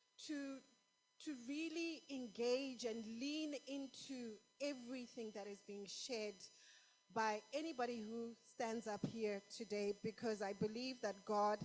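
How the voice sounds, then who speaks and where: A woman speaks in a fairly high voice, fairly slowly, with ordinary pitch variation. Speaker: conference speaker. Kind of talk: sermon. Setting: stage with audience.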